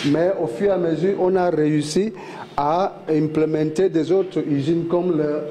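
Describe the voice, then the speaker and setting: Over noticeable background noise, a man speaks with a fairly high pitch and fairly even intonation. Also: fairly slow pace. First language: not French (speaking French). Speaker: oil plant guide. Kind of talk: guided site tour. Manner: halting, many fillers.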